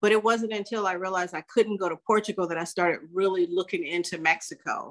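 Against a quiet background, a normal speaking voice with an American accent moves at a fairly quick pace with fairly even intonation. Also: woman. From California, US. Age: 60s. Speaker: life coach and retired corporate trainer. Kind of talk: casual interview. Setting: remote call.

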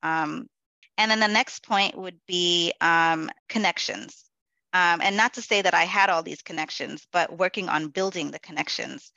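A woman speaks at a moderate pace with fairly low pitch. Hers is an unremarkable speaking voice. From New York City, the Bronx. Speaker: corporate event manager. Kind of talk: interview.

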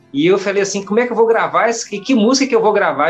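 Male voice over music in the background. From Bahia, Brazil. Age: 40s. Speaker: gospel singer. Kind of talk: interview.

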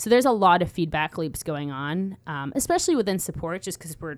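A woman talks very fast with lively intonation on a very clean recording with a silent background. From London, England. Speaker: customer success specialist. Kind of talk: casual interview. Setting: studio.

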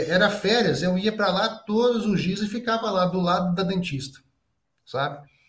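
A high-pitched man in a room with audible echo. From Brazil, Minas Gerais (Juiz de Fora, Zona da Mata). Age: 40s. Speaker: dentist, endodontist. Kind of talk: casual interview.

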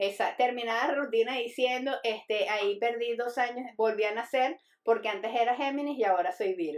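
A woman's fairly high, ordinary speaking voice, with ordinary pitch variation, a moderate pace and hardly any pauses. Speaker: comedian. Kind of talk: casual chat.

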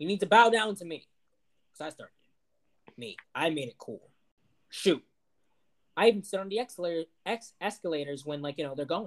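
With an American accent, a man talks at a high pitch with lively intonation, big swings in loudness, and long, frequent pauses. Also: fairly quick pace. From Ohio. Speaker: podcast co-host. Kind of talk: casual chat. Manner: halting.

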